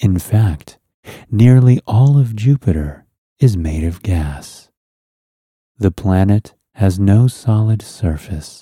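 A man speaks at a very slow pace with a fairly low pitch, long, frequent pauses and lively intonation, in a calm, soothing tone. His voice is somewhat breathy and dark and mellow in tone, with a dry, close sound with no echo in a very clean recording with a silent background. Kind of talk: guided relaxation and bedtime story narration. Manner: slow, hushed and soothing, gently lulling; calm, dreamy, unhurried pacing with soft, drifting delivery.

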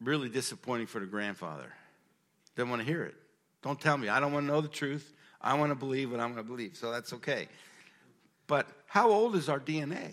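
A man's fairly high voice, very fast and lively in intonation, broken by long, frequent pauses. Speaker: pastor. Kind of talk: sermon.

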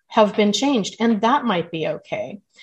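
Against a quiet background, a woman with an American accent speaks in a fairly high, somewhat breathy voice with lively intonation. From Southern California. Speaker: memoir author. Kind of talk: interview.

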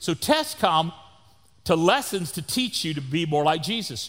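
A loud voice with a Texan accent uses lively intonation. The recording is very clean, with a silent background. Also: man. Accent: Texan Southern US. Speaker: pastor. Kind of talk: sermon. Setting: church.

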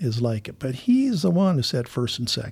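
A man with an American accent speaks at medium pitch and a moderate pace, somewhat breathy. The recording is very clean with a silent background. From Minnesota, US Midwest. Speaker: missions pastor. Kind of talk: interview conversation.

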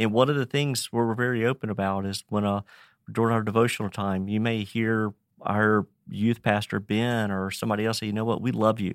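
The recording is very clean, with a silent background and a dry, close sound with no echo. A man with a Virginia accent talks at a fairly quick pace in a monotone, flat intonation. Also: fairly low pitch for a man. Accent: Virginia Southern US. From Virginia, Roanoke. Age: 50s. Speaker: nonprofit ministry director. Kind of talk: interview.

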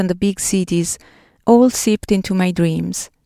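Speaking in an Italian accent, a woman of medium pitch talks at a fairly slow pace with fairly even intonation, in a very clean recording with a silent background and a dry, close sound with no echo. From Italy. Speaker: podcast host. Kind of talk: personal narrative essay. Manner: reflective.

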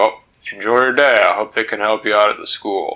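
A man's put-on character voice at a medium pitch and a fairly quick pace. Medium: read story.

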